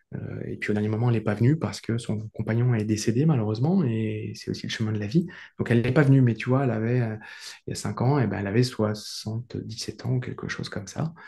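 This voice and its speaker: Somewhat breathy and dark, mellow in tone, a man speaks at a medium pitch. He talks at a fairly quick pace with ordinary pitch variation. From rural France. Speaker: coach and trek organizer. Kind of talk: interview. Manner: hesitant, many fillers and repetitions.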